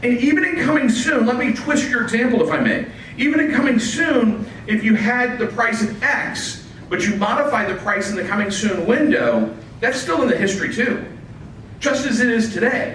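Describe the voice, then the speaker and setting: Noticeable background noise and audible room echo surround a man's extremely high-pitched voice. He talks at a moderate pace with ordinary pitch variation. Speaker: real estate listing service representative. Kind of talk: presentation with Q&A at office meeting. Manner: loud.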